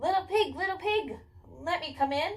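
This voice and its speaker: A woman puts on a squeaky character voice at an extremely high pitch, moving at a moderate pace. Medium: read story. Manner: threatening.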